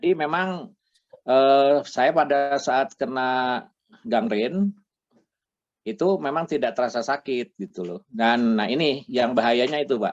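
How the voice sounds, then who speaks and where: Man at a medium pitch, very slow pace, with lively intonation. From Bandung, West Java, Indonesia. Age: 60s. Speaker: retired patient giving testimony. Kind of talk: testimony interview. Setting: video call.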